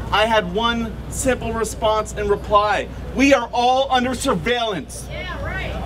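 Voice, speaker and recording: With crowd noise in the background, a man speaks at a fairly slow pace. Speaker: rally speaker for a civil rights group. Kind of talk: rally speech. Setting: outdoor rally with crowd. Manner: impassioned, emphatic. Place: street. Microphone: podium.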